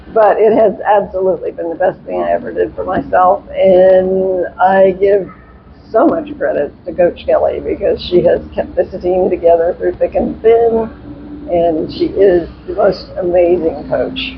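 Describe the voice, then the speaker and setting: The words come at a fairly slow pace while noticeable background noise carries on underneath. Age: 80s+. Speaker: adult figure skater, synchro team member. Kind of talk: interview. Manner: halting.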